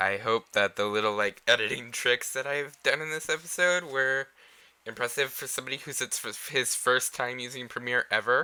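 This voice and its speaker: Heard on a very clean recording with a silent background, a man speaks at a moderate pace and medium pitch, with a bright, sharp tone and ordinary pitch variation. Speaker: let's play gamer. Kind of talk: casual gameplay commentary. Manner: casual, halting.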